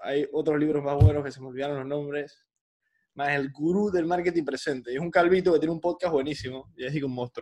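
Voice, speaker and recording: Talking at a very fast pace, a man uses fairly even intonation and a fairly high pitch. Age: 20s. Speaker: podcaster. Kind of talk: casual chat.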